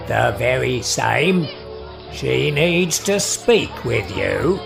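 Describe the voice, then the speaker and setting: A man uses a put-on character voice at a very slow pace against loud music in the background. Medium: audio drama. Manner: curt, knowing.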